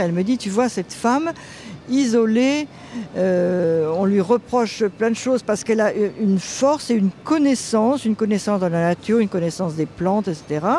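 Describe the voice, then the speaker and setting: A moderate pace under noticeable background noise. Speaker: writer, founder of a feminist magazine. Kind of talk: interview, recollection.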